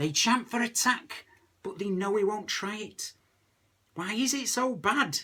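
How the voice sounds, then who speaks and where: A man with a Lancashire accent speaks at a fairly slow pace. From Lancashire, England. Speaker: comic poet. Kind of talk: comic poetry reading.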